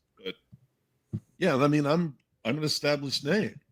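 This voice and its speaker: Fairly quick in pace, a man's voice sits at a fairly high pitch. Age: 60s. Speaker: whiskey writer and author. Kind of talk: podcast interview. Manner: halting, with many fillers.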